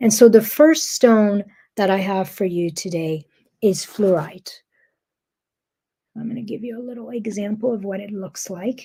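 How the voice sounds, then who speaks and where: A woman's medium pitch, dark and mellow, somewhat breathy, with a calm, gentle tone, ordinary pitch variation, big swings in loudness, a moderate pace and long, frequent pauses. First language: not English. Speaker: spiritual wellness coach. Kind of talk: guided teaching monologue. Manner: hesitant, with fillers.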